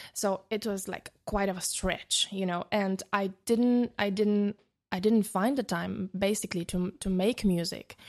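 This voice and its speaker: Against a quiet background, a woman with a Bulgarian accent speaks fairly slowly at a medium pitch. Her intonation is monotone and flat. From Bulgaria, small town. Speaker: DJ and producer. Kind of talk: interview. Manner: halting.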